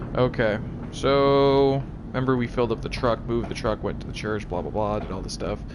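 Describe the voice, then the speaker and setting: A man is talking at a medium pitch. Noticeable noise sits behind him. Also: fairly even intonation, fairly quick pace. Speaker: gaming streamer. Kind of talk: live gameplay commentary.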